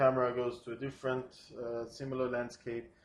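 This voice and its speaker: A man speaks with a non-native accent at a medium pitch. His pace is fairly quick. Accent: foreign accent, non-native English. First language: not English. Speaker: storyboard artist pitching a film sequence. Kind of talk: storyboard pitch narration. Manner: hesitant, many fillers.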